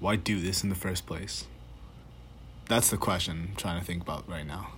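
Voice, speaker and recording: A man with a very deep, low pitch and vocal fry, long, frequent pauses, and audible room echo. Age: young. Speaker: student podcaster. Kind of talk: solo voice memo monologue. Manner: hesitant, halting; shaky voice.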